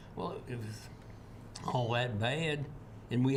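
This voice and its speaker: In a Tennessee accent, a man speaks at a moderate pace amid audible room echo. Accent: Southern US (Tennessee). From US South, Tennessee. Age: 80s+. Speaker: energy expert. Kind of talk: interview. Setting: TV studio. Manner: halting, many fillers.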